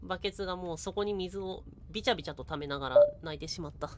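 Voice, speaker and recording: A woman speaks in a normal speaking voice at a fairly low pitch. She goes at a fairly quick pace with ordinary pitch variation. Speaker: VTuber, game streamer. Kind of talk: casual live game commentary.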